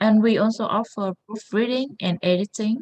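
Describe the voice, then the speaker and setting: Fairly slow speech from a woman, ordinary pitch variation, dry, close sound with no echo. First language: not English. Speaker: founder of a thesis support academy. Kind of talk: workshop presentation. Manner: halting, many fillers.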